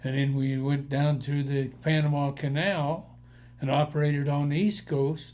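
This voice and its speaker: With an American accent, a man speaks fairly slowly at a fairly high pitch. His tone is dark and mellow, and somewhat breathy. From Colorado, Denver area. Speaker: war veteran. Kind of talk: oral history interview.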